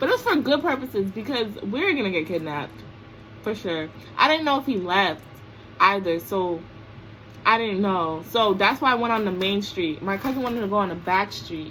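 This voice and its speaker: With an American accent, a woman mumbles at a fairly quick pace, her medium-pitched voice rising and falling in lively intonation. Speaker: vlogger. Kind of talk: storytime vlog. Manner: mumbling.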